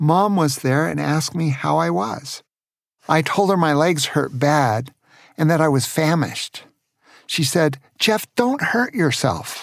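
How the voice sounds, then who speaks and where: A man with an unremarkable speaking voice talks at a fairly slow pace, his fairly high pitch carried by lively intonation. The recording is very clean with a silent background, and loudness stays very even. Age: 60s. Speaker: grandfather telling bedtime stories. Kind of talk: storytelling. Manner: warm and gentle.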